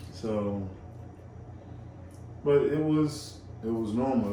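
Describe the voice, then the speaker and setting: With a Georgia accent, a man at medium pitch talks at a very slow pace with long, frequent pauses, amid noticeable background noise and audible room echo. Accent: Southern US, rural Georgia. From rural Georgia, US South. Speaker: guest. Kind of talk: casual chat.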